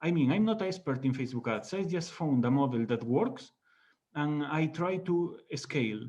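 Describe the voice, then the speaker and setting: Using lively intonation, a man with a Spanish accent and a fairly high pitch speaks at a moderate pace. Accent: Spanish accent, non-native English. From Spain. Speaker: online business founder. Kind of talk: interview. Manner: halting, many fillers.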